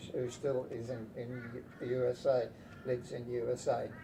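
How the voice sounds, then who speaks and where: Over noticeable background noise, a man talks with a medium pitch. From Latvia. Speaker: war refugee telling life story. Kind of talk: oral history interview. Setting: at home. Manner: halting, many restarts and fillers.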